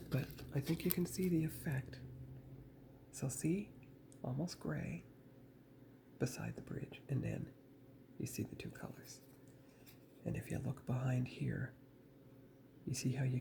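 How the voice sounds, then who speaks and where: This man talks at a fairly slow pace, with long, frequent pauses and vocal fry. His tone is dark and mellow, with ordinary pitch variation. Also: medium pitch for a man. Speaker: model building hobbyist youtuber. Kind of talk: tutorial. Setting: parents' home.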